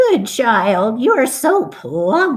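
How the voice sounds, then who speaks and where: A put-on character voice with very wide pitch swings. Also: woman. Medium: read story. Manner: wheedling, falsely sweet.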